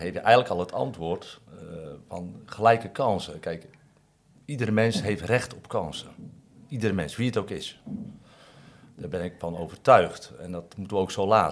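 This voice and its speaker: A man with a fairly low pitch speaks at a moderate pace with ordinary pitch variation. His loudness swings widely, and he takes long, frequent pauses. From Netherlands, Katwijk. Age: 50s. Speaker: fishmonger. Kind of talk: interview. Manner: halting.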